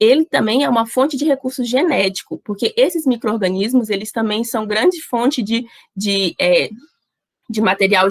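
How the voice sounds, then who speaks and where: A woman's plain, everyday voice, with lively intonation and a moderate pace. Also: dry, close sound with no echo. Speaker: university student workshop presenter. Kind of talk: online workshop lecture.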